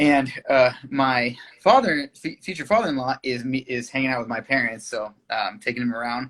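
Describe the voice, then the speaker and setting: Medium-pitched man in a Californian accent, moderate pace, hardly any pauses, ordinary pitch variation. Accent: Californian American English. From US West Coast, Thousand Oaks, California. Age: 30s. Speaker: singer-songwriter. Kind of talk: interview. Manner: halting.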